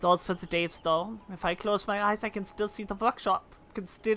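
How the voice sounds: Fairly even intonation runs through it. The reading voice sounds natural.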